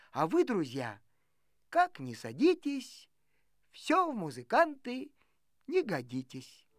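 A woman's put-on character voice, fairly high in pitch, with very wide pitch swings and a slow pace

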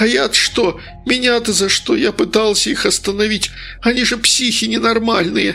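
Putting on a character voice, a man speaks at a high pitch while clear music plays in the background. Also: moderate pace. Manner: mumbling, offended, whining.

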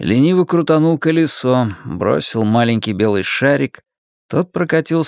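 An unforced reading voice over a quiet background

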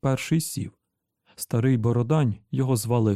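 A natural reading voice comes through with only a quiet background behind it.

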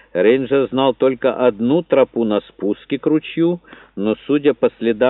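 The voice is an unforced reading voice.

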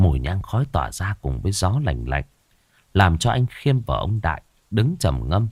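Someone reads aloud here in a natural voice.

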